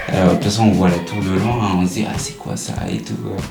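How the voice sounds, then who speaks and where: Noticeable background noise and audible room echo around a man's speech. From Central African Republic, moved to Reims around age 12. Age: 20s. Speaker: local resident sharing life story. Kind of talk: interview, personal recollection. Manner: hesitant, many filler sounds.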